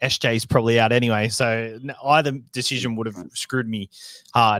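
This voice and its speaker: This man speaks with a New Zealand accent. His voice is medium in pitch, with fairly even intonation. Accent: Kiwi. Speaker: fantasy sports podcast co-host. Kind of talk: casual chat.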